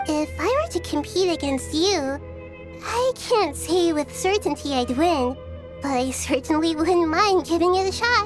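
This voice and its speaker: A cartoonish character voice, female-sounding and high-pitched, at a moderate pace over loud background music. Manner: soft, friendly, unpretentious.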